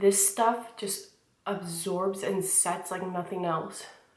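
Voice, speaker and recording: A woman at medium pitch, speaking at a very slow pace, with audible room echo. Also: long, frequent pauses. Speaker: beauty vlogger. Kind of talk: tutorial. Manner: casual, chatty.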